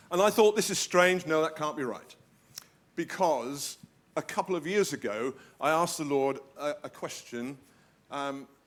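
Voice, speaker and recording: Pausing often and at length, a male speaker keeps to a moderate tempo. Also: fairly high pitch for a man, ordinary pitch variation. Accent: British. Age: 70s. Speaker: guest preacher. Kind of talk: sermon. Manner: animated.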